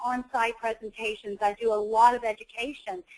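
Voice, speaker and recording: The speaker has an American accent and talks at a moderate pace in a monotone, flat way. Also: woman. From US South. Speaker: nurse and coding educator. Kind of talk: webinar presentation. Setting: online webinar.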